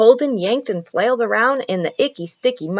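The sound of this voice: Lively intonation in an unforced reading voice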